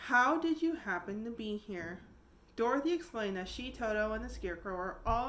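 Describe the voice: The clip is plain reading aloud, delivered with lively intonation.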